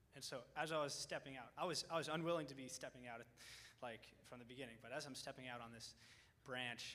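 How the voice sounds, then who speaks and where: A man with a medium pitch and a bright, sharp tone talks at a very fast pace amid audible room echo. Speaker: college student. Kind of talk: testimony. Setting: church.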